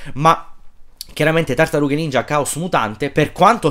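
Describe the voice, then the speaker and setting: This man talks at a moderate pace. The background is quiet. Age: 30s. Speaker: film YouTuber; film commentator. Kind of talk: casual monologue. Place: home room. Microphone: phone near.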